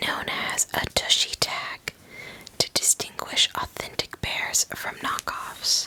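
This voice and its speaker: A woman whispers at a very slow pace over noticeable background noise. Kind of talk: ASMR whispered history narration. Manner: whispered.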